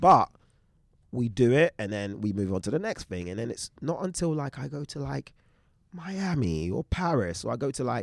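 With a London accent, a man speaks at a moderate pace, his pitch swinging very widely, on a very clean recording with a silent background. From England, East London. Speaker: DJ and creative collective co-founder. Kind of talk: casual chat.

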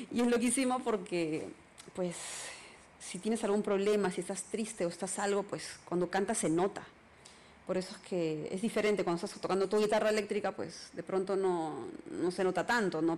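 A woman speaks in a Peruvian accent at a fairly quick pace. Her pitch is medium and her intonation fairly even. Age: 40s. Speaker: singer-songwriter. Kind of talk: interview.

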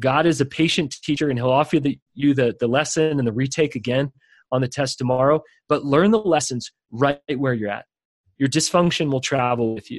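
Against a quiet background, a man with an ordinary speaking voice and fairly high pitch talks at a fairly quick pace with ordinary pitch variation, in a dry, close sound with no echo. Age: young. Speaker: leadership coach and author. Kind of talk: interview.

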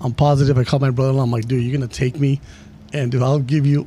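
Very fast and somewhat breathy, a man talks in a monotone, flat way at a medium pitch with a dark, mellow tone. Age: 40s. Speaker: podcast host. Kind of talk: casual chat.

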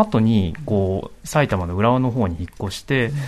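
A man speaks with a fairly low pitch and lively intonation. Noticeable background noise runs under his voice. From Saitama, Japan. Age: 30s. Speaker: writer on pop culture. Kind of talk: radio panel discussion.

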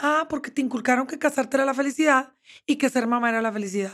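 Very fast and high-pitched, a woman's voice moves with ordinary pitch variation. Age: 50s. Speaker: therapist. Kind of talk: interview. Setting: studio.

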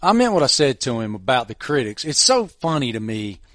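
A man with a Virginia accent at a fairly quick pace with very wide pitch swings, in a dry, close sound with no echo over a quiet background. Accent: Southern, Virginia. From Southwest Virginia, Appalachia. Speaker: podcast host. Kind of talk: casual chat.

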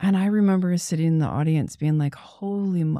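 A woman's dark, mellow tone with ordinary pitch variation, on a very clean recording with a silent background. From US Midwest (Toledo, Ohio), teen years in Texas. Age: 40s. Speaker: artist and art professor. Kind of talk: casual chat.

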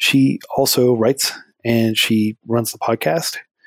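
A man speaks with a plain, everyday voice at medium pitch and fairly even intonation. The sound is dry and close, without echo. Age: 30s. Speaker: nonprofit founder. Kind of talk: interview.

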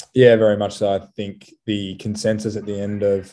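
A man speaks at a fairly low pitch with an Australian accent. His tone is dark and mellow, and the background is quiet. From Australia, Sydney. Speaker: professional rugby player. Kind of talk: interview. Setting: remote call.

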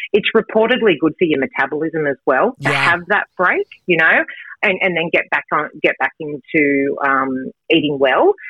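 The speaker has an Australian accent, lively intonation, a moderate pace and very even loudness. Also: woman, fairly low pitch for a woman. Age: 40s. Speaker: fitness and nutrition coach. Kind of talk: radio interview.

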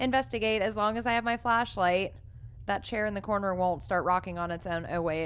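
Using an ordinary speaking voice, a woman talks at a fairly quick pace with ordinary pitch variation. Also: medium pitch for a woman. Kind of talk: casual chat.

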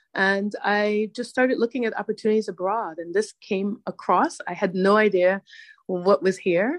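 With an American accent, this is an ordinary speaking voice at a moderate pace with ordinary pitch variation, in a dry, close sound with no echo and a quiet background. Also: woman. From Hartford, Connecticut, US. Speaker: podcast host, guest. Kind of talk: interview.

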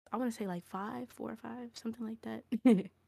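A woman with an American accent speaks at a fairly high pitch. The sound is dry and close with no echo, in a very clean recording with a silent background. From Koreatown, Los Angeles. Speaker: music artist. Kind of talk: casual interview chat.

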